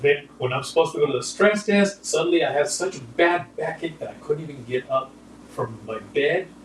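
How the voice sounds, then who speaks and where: Over noticeable background noise, a man with a fairly high pitch speaks at a fairly quick pace, his loudness swinging widely. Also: ordinary pitch variation. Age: 60s. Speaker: TV show host and worship leader. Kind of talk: casual chat.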